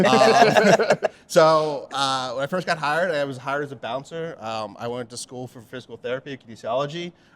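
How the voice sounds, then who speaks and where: The speaker moves at a fairly quick pace with hardly any pauses, lively intonation and big swings in loudness, over noticeable background noise. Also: man, fairly high pitch for a man. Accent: American. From Pennsylvania, Pottstown. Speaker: bartender and beverage manager. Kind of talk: casual chat.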